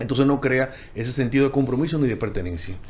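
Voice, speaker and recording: A man at a fairly high pitch and a very fast pace. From Dominican Republic. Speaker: architect, panel guest; guest. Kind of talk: panel discussion. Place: studio. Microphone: studio mic.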